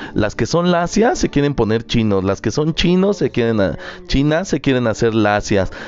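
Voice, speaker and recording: Over noticeable background noise, a man speaks at a fairly slow pace while his pitch swings very widely. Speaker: podcast host. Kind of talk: solo Q&A podcast monologue.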